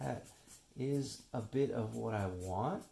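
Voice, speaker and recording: A man is speaking. He is whispering. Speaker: artist. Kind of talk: tutorial. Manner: casual, thinking aloud.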